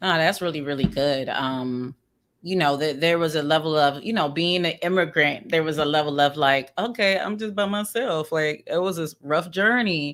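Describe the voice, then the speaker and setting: In a Maryland accent, a woman speaks at a moderate pace with a very deep, low pitch and ordinary pitch variation, in a very clean recording with a silent background. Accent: Maryland pronunciation, ER as UR. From Sierra Leone, raised in Maryland US. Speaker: podcast co-host. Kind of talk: casual panel discussion with teaching. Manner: animated, conversational.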